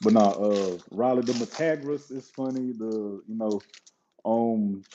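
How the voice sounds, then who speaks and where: A man with a Southern US accent. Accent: Southern drawl. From Mississippi, US South. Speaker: streamer opening trading card packs. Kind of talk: live stream chat. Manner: casual, fast-paced.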